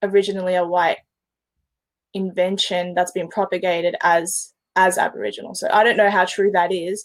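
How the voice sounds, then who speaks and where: A woman with an Australian accent. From Melbourne, Australia. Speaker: podcast guest. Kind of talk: casual chat.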